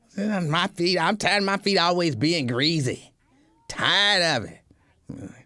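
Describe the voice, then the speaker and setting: In a put-on character voice with a whiny tone, the speaker talks at a middle pitch and a fairly slow pace. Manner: whiny, complaining.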